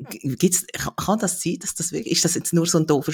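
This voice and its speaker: Heard in a dry, close sound with no echo, a man speaks somewhat breathily with ordinary pitch variation. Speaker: podcast host. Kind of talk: interview.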